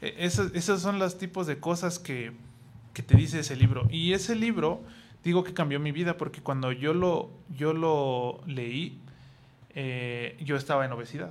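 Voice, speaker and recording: This man has an ordinary speaking voice, pitched fairly high, with ordinary pitch variation and a fairly slow pace. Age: 30s. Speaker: IT consultant. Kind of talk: casual chat.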